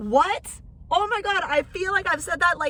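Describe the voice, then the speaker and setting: Raising and projecting her voice, a woman speaks with very wide pitch swings. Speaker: podcast host. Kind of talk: casual podcast monologue.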